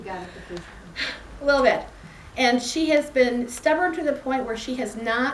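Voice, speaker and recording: At a fairly slow pace, a woman speaks in a fairly high pitch with ordinary pitch variation over noticeable background noise. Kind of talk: speaker introduction at a club meeting.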